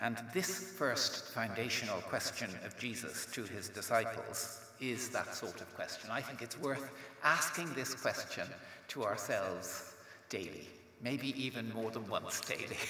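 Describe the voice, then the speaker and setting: Speaking at a fairly slow pace, a man uses lively intonation amid audible room echo. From Ireland. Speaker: theology professor. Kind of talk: lecture. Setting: stage with audience. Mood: calm, reflective, warm. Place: hall. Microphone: podium.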